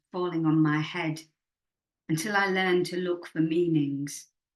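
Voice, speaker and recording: At a fairly slow pace, a woman talks with a Yorkshire accent in a fairly low voice. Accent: Northern English (Yorkshire). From Leeds, England. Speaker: poet and writer. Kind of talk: poetry reading.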